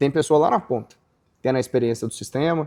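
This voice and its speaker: This is a male voice at a medium pitch with a normal speaking voice. Its pitch moves in an ordinary way. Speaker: podcast host, founder of agribusiness legal portal. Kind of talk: casual interview conversation.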